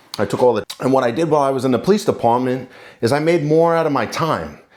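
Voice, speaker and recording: A man with a New York accent talks at a very fast pace on a very clean recording with a silent background. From New York City, Queens. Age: 40s. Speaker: lawyer and contractor, channel owner. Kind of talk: casual talk to camera.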